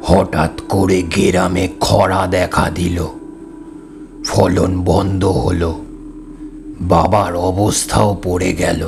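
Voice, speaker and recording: Over clear background noise, a man puts on a raspy character voice with a very deep, low pitch, speaking at a very slow pace. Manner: sorrowful, trembling.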